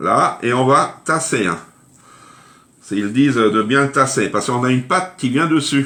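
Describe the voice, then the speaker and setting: At a moderate pace, a man with a bright, sharp tone and medium pitch speaks with ordinary pitch variation and long, frequent pauses. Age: 60s. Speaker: cooking livestreamer. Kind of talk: live cooking stream chat. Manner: chatty, informal.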